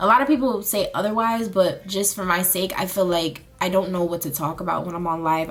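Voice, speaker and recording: A woman speaking at a fairly quick pace. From US South, Charlotte, North Carolina. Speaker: beauty and lifestyle vlogger. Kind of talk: casual chat, get ready with me. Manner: casual, filler-heavy.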